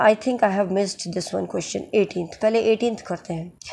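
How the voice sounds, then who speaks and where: At a fairly slow pace, a woman speaks with a dark, mellow tone at medium pitch and ordinary pitch variation, on a very clean recording with a silent background. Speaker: English literature teacher. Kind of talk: lecture.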